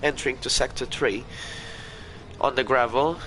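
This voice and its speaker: The intonation stays fairly even while noticeable background noise carries through. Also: man. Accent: Portuguese. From Portugal. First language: Portuguese. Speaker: sim racing league commentator. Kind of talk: live commentary. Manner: halting.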